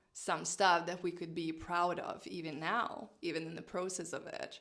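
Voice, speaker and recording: A woman with a non-native accent speaks in a fairly low pitch with fairly even intonation. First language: not English. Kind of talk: casual vlog talk to camera.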